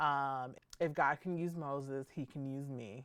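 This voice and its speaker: A woman with a very deep, low voice. Her intonation stays fairly even. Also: very clean recording, silent background. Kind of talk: Bible teaching monologue. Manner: halting, tongue-tied; casual, conversational.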